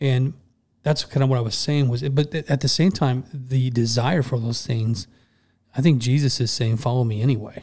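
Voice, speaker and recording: In an American accent, a man speaks with a dark, mellow tone, a somewhat breathy quality and ordinary pitch variation. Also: medium pitch for a man. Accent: Southern drawl noted by northerners. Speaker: podcast host. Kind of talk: casual Bible study chat. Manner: fast.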